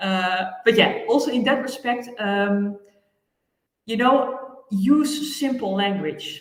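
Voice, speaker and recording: There is audible room echo as a woman with a high pitch speaks at a very slow pace. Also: ordinary pitch variation. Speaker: land administration expert. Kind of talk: interview. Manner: hesitant, many fillers.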